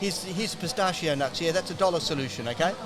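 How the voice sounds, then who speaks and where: Speaking at a very fast pace with lively intonation, a man with an Australian accent is heard amid noticeable background noise and audible room echo. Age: 60s. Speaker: health researcher and author. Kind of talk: podcast interview.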